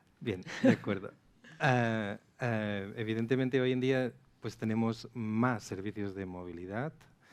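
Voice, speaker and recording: Speaking with a strong Catalan accent, a man at a medium pitch goes at a fairly slow pace with fairly even intonation. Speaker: traffic software sales manager. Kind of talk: panel discussion.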